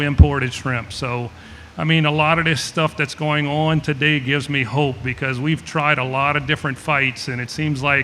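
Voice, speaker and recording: A man with a South Louisiana accent speaks at a fairly high pitch. His intonation is monotone and flat. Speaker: shrimper and seafood business owner. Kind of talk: panel discussion. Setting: festival panel with audience.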